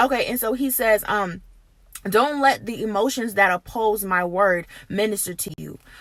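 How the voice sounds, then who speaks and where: Fairly high pitch from a woman, an unremarkable speaking voice with ordinary pitch variation. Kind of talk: prophetic encouragement, casual talk to camera. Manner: earnest, conversational.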